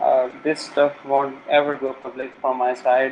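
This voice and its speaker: A man with a South Asian accent speaks at a medium pitch in a monotone, flat intonation, with noticeable background noise. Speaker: game hacker and programmer. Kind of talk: interview. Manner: hesitant, many filler sounds.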